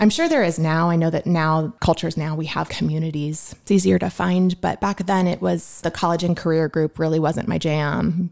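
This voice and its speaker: On a very clean recording with a silent background, a woman talks at a moderate pace with fairly even intonation and hardly any pauses. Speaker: guest sharing faith testimony. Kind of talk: testimony. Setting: podcast interview.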